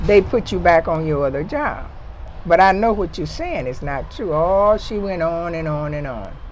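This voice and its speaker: Over noticeable background noise, the voice has ordinary pitch variation and big swings in loudness. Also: woman, fairly low pitch for a woman, moderate pace. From Mississippi, US South. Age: 70s. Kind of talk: conversational storytelling interview.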